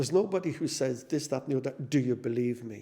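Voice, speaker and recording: Speaking with a Dublin accent, a man has a medium pitch, a dark, mellow tone and vocal fry. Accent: Dublin Irish. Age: 60s. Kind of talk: testimony. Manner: halting, frequent repetitions.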